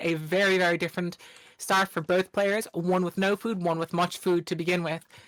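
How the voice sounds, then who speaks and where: Here a woman speaks with an Irish accent. Her pace is fairly quick. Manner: fast.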